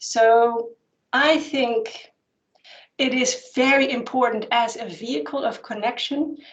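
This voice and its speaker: With a Dutch accent, a woman speaks at a fairly high pitch with ordinary variation. Room echo is audible in the recording. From Netherlands. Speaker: anthropologist and spiritual teacher. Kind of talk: Q&A answer at an online conference.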